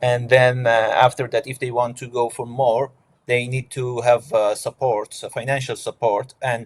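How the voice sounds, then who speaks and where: Monotone and flat, a man speaks with medium pitch at a moderate pace, somewhat breathy. The sound is dry and close with no echo. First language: not English. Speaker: asylum seeker, scholarship student. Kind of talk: panel discussion. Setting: online event. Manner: halting, many fillers.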